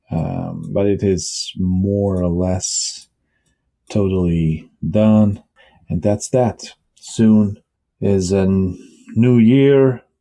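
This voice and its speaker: Speaking very slowly with long, frequent pauses, a man with a Bosnian accent has a fairly low pitch, a dark, mellow tone and ordinary pitch variation. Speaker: tech vlogger and writer. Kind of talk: casual vlog talk. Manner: hesitant, with fillers.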